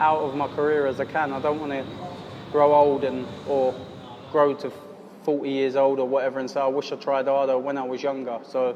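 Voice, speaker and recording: Speaking at a fairly quick pace yet with long, frequent pauses, a man uses a fairly high pitch and monotone, flat intonation over noticeable background noise. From southern England, Surrey. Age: 20s. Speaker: professional boxer. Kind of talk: interview. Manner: halting, frequent repetitions and fillers.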